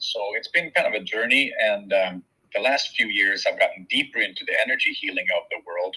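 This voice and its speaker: A man with a Swedish accent talks at a fairly quick pace. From Sweden. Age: 40s. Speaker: shaman and Reiki practitioner. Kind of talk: interview.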